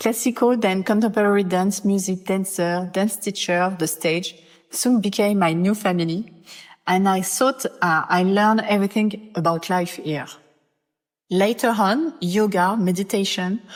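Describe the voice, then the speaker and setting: A woman at medium pitch and moderate pace, ordinary pitch variation, on a very clean recording with a silent background. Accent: strong French. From France. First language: French. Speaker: podcast host, former dancer and dance teacher. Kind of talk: podcast introduction. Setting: recorded outdoors in Bali.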